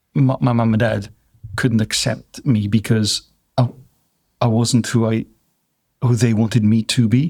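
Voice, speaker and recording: A man with a Welsh accent speaks in a dark, mellow tone at medium pitch and a moderate pace, his loudness very even, his intonation fairly even, with long, frequent pauses. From South Wales. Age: 60s. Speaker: drinks business owner. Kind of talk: interview.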